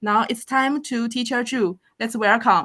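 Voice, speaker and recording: The speaker is a woman with a Chinese accent. The background is quiet. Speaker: planetarium educator. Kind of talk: speaker introduction. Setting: video call.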